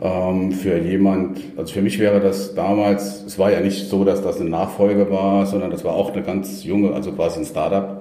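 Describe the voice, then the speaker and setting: Over noticeable background noise and audible room echo, a man speaks at a fairly low pitch in a flat monotone, keeping a moderate pace with hardly any pauses. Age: 50s. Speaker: company founder and former managing director. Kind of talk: interview. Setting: in-person conversation in Munich.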